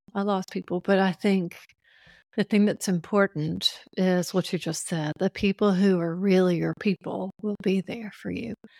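In a very clean recording with a silent background, a woman with an unremarkable speaking voice talks at a moderate pace. Her medium-pitched delivery has fairly even intonation and a dry, close sound with no echo. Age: 60s. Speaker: dietitian and yoga teacher. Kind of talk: interview.

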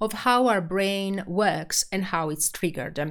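This very clean recording has a silent background. A woman with an Italian accent speaks at a medium pitch and moderate pace, with ordinary pitch variation. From Italy. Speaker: podcast host and change management practitioner. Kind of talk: solo podcast introduction. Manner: halting, many filler words.

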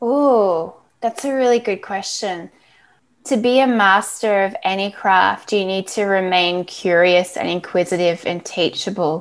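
A woman talks fairly slowly with an Australian accent. Her pitch moves in an ordinary way against a quiet background. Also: medium pitch for a woman. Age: 40s. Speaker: athlete branding expert. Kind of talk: interview.

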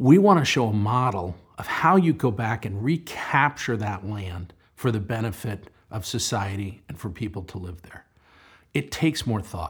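The somewhat breathy voice has lively intonation, captured on a very clean recording with a silent background. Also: man, fairly low pitch for a man, moderate pace. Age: 60s. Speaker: real estate developer. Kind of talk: interview.

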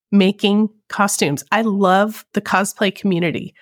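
A woman talks at a fairly slow pace and a medium pitch with ordinary pitch variation, in an unremarkable speaking voice. The recording is very clean with a silent background, and the sound is dry and close with no echo. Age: 40s. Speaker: cosplayer and podcast host. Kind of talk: casual chat.

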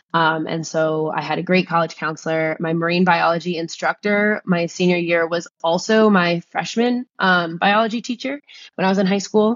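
A woman with an American accent speaks in a plain, everyday voice, fairly low in pitch, at a moderate pace with ordinary pitch variation and hardly any pauses. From New Jersey. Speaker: science teacher and scuba instructor. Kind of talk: interview conversation.

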